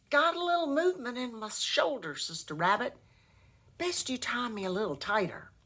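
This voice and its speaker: Putting on a character voice, a woman growls in a gruff, high voice at a moderate pace, with very wide pitch swings. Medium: read story. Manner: snarling, gruff.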